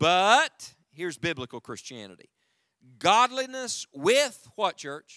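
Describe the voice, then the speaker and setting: A man with an Appalachian accent, high-pitched and bright and sharp in tone, at a very slow pace with very wide pitch swings, in a dry, close sound with no echo and a very clean recording over a silent background. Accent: noticeable American Appalachian. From US South, West Virginia mountains. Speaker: evangelist preacher. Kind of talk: sermon. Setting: church with congregation.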